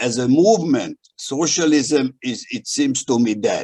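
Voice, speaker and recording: A man with a Hungarian accent talks at a very slow pace. His pitch varies in an ordinary way. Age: old. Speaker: history professor. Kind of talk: prepared talk at a webinar. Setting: video call. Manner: halting, with many fillers.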